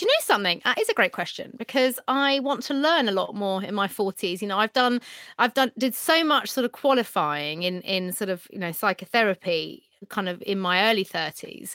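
A woman with a British accent, fairly high in pitch, bright and sharp in tone, at a fairly quick pace with lively intonation, in a dry, close sound with no echo. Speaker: TV presenter and dating expert. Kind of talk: casual chat, podcast interview. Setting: video call from home bedroom.

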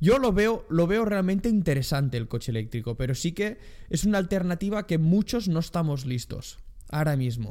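This man's voice sits high in pitch, with a dark, mellow tone and very wide pitch swings. He speaks at a moderate pace. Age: young. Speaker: podcast co-host. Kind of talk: casual chat. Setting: new studio on sofas.

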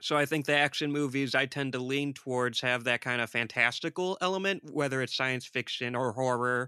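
A man with a Midwestern accent speaks at a fairly quick pace in a bright, sharp tone, with fairly even intonation and hardly any pauses. The recording is very clean with a silent background, and the sound is dry and close with no echo. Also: medium pitch for a man. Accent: American Midwest. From Detroit, US. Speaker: horror filmmaker and podcast host. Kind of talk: casual chat.

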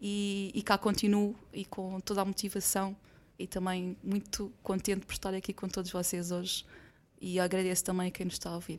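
Delivery stays monotone and flat throughout. Words come at a moderate pace. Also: woman, very clean recording, silent background. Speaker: logistics warehouse director. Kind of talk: corporate podcast discussion.

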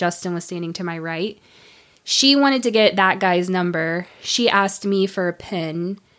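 A woman with a normal speaking voice talks in an American accent at a fairly slow pace, with medium pitch and ordinary pitch variation. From US South, northeast Florida. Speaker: virtual assistant. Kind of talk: casual interview chat.

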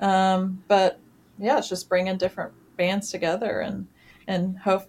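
At a moderate pace, a woman speaks with monotone, flat intonation at a medium pitch. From Tennessee, small town south of Nashville. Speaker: music venue general manager. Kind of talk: interview. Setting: remote interview from her office.

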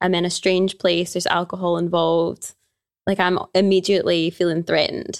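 A woman speaks at a fairly quick pace in a Glaswegian accent. Her loudness stays very even, and her intonation is monotone and flat. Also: fairly low pitch for a woman. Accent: Glaswegian Scottish. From Scotland, Glasgow. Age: 20s. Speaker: yoga teacher and personal trainer. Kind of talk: casual chat.

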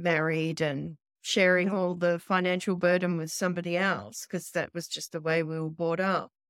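This woman has an Australian accent, a fairly low pitch and fairly even intonation at a moderate pace. The recording is very clean with a silent background and a dry, close sound with no echo. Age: 50s. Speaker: course student. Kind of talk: interview.

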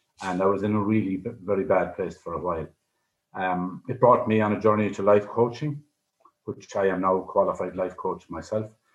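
A fairly low-pitched man with an Irish accent, fairly quick pace, ordinary pitch variation. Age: 60s. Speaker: life coach. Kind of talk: radio interview.

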